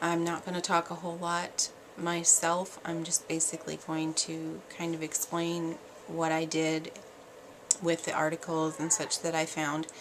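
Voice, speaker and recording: A woman's voice with monotone, flat intonation at a fairly slow pace, over noticeable background noise. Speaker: parenting vlogger. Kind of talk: casual vlog monologue. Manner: quiet; hesitant, many fillers.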